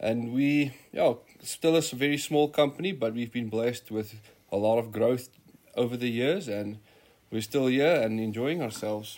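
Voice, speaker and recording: Someone speaks with a South African accent at a moderate pace. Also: man, medium pitch for a man, ordinary pitch variation. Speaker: safari hunting outfitter. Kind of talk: conversational, informative.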